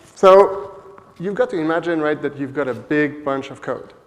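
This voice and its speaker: With a French Canadian accent, a man talks at a moderate pace with ordinary pitch variation in a room with audible echo. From Quebec, Montreal. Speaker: software developer, conference speaker. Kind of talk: conference talk. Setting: stage with audience. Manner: hesitant, many fillers.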